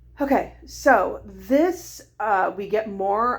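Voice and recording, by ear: Putting on a character voice, a woman talks very slowly in a raspy, fairly high pitch with lively intonation.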